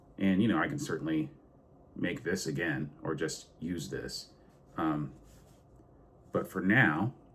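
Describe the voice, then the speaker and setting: There is vocal fry in this man's voice, which has ordinary pitch variation and long, frequent pauses. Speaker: sim racing YouTuber. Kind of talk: hands-on tutorial. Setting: home sim rig. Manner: casual, halting with fillers.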